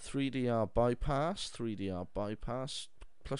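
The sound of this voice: An unforced reading voice carries the text. Its pitch rises and falls in an ordinary way.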